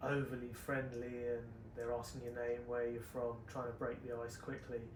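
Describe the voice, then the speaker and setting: Soft-spoken and monotone, a man with a medium pitch talks at a moderate pace amid noticeable background noise and audible room echo. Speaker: travel vlogger. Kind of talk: casual chat.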